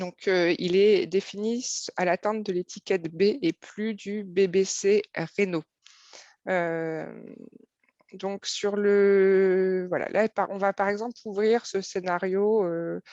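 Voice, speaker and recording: A woman speaks very slowly at medium pitch in a dark, mellow tone with monotone, flat intonation. The sound is dry and close with no echo. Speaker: software presenter. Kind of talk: live webinar software demo. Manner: hesitant, many fillers.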